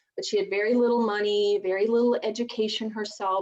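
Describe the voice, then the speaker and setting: A woman speaks in a Southern US accent. Her pitch sits in the medium range. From US South, rural mountains of Virginia. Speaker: divorce strategist. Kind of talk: interview.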